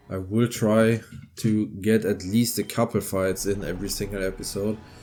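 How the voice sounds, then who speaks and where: A man with a German accent talks at a moderate pace in a fairly low pitch, his dark, mellow tone held in a monotone, flat delivery over a very clean recording with a silent background. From Germany. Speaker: gaming video creator. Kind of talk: let's play commentary. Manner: casual, hesitant.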